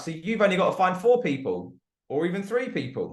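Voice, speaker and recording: Audible room echo follows a man who speaks at a fairly quick pace with a British accent. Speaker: network marketing presenter. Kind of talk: sales pitch. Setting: group call.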